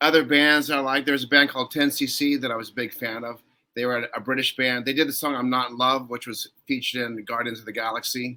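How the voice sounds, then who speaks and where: A man's bright, sharp tone, very fast, in a monotone, flat intonation. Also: medium pitch for a man, hardly any pauses. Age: 60s. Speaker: film composer and musician. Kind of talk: podcast interview.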